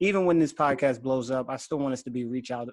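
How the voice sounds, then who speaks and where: A plain, everyday voice from a man, medium in pitch, with fairly even intonation. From Philadelphia, US. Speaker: podcast host. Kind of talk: casual chat.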